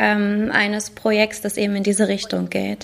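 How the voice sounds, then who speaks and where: A woman's fairly high pitch at a fairly slow pace, amid noticeable background noise. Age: 30s. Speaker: pastor. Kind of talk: casual interview chat. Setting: video call.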